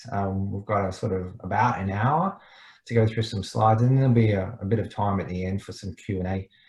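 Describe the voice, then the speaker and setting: A man with an Australian accent talks at a fairly quick pace in a fairly low, somewhat breathy voice. His intonation stays fairly even over a quiet background. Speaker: startup mentor. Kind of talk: online presentation. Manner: fast.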